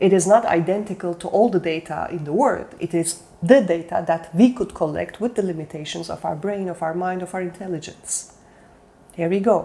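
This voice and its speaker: With a non-native accent, a woman speaks in a fairly low pitch with ordinary pitch variation and a dark, mellow tone. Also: moderate pace. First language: not English. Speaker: self-development coach. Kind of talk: motivational talk. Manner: halting.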